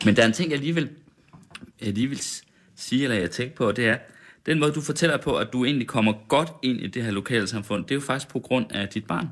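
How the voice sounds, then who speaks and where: An ordinary speaking voice moves at a fairly quick pace with ordinary pitch variation. The recording is very clean with a silent background. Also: man, medium pitch for a man. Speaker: radio host. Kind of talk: casual interview chat over champagne. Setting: studio.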